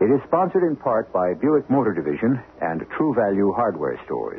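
A man talks with a fairly low pitch. His pitch makes big swings. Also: moderate pace.

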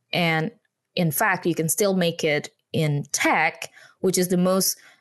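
Against a quiet background, a woman with an Indonesian accent talks at a fairly slow pace in a fairly low pitch. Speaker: communication trainer and consultant. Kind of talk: interview podcast. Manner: laughs often.

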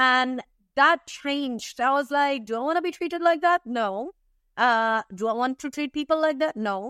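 Against a quiet background, a woman with a high pitch and a bright, sharp tone speaks at a moderate pace with ordinary pitch variation, the sound dry and close with no echo. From India. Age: 30s. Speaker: tea developer and entrepreneur. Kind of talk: interview.

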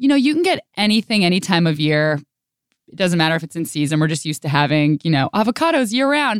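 Speech in an American accent comes at a very fast pace with very wide pitch swings, recorded very cleanly against a silent background with a dry, close sound and no echo. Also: woman. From Northern California. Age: 30s. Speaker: radio host and podcaster. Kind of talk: casual interview chat. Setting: radio studio.

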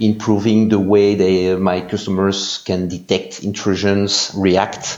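A man speaks with a Belgian accent at a fairly slow pace. Noticeable background noise runs throughout. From Belgium. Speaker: security analyst. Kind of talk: interview.

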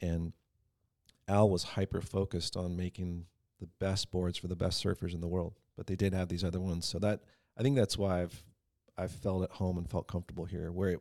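In a very deep, low voice with a dark, mellow tone, a man speaks with an American accent at a fairly quick pace and flat, monotone intonation. The recording is very clean and dry, close with no echo and a silent background. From San Diego, California. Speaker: surfboard designer. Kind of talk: casual chat.

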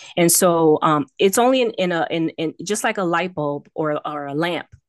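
A woman with an American accent and a very deep, low pitch, her sound dry and close with no echo against a quiet background. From Miami, Florida. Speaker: author. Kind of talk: interview. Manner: halting.

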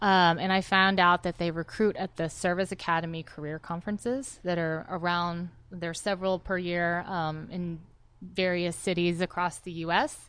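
The background stays quiet. An ordinary speaking voice talks at a moderate pace, its intonation fairly even. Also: woman, fairly low pitch for a woman. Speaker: army veteran. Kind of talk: interview. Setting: studio.

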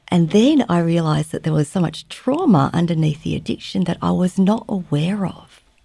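On a very clean recording with a silent background, a woman talks in an Australian accent. Her voice is fairly low in pitch, with a dark, mellow tone. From Australia, Melbourne suburbs. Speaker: trauma therapist and educator. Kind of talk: interview.

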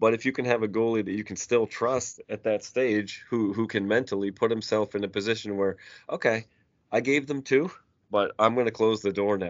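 This man has an unremarkable speaking voice, medium in pitch, and talks at a fairly quick pace with fairly even intonation. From Nova Scotia, Canada (Cole Harbour). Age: 40s. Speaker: hockey podcaster and youth hockey coach. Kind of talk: casual chat.

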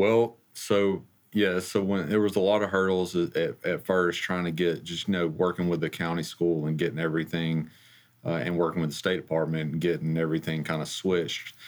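A man with an Alabama accent talks at a fairly quick pace in a very deep, low pitch with fairly even intonation. The recording is very clean, with a silent background. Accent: US Southern (Alabama). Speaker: school district finance officer. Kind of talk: interview. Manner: halting, many fillers.

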